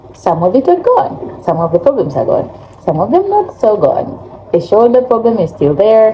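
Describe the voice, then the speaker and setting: Noticeable background noise sits behind a woman talking at a moderate pace. Her fairly high voice makes very wide pitch swings. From Africa. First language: not English; English is third language. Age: 30s. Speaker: vlogger. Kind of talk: casual vlog talk.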